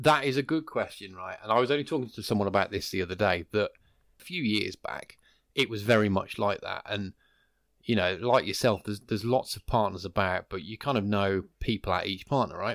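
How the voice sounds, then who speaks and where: A man with a plain, everyday voice speaks at a fairly quick pace in a fairly low pitch with ordinary pitch variation, the sound dry and close with no echo. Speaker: podcast co-host. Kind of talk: casual podcast chat. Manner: chatty, laughs often.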